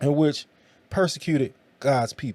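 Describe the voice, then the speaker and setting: A man's voice sounds dark and mellow. Its pitch is fairly high. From US South, Tennessee. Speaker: preacher and podcast host. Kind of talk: casual monologue about faith. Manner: halting, stumbling over words.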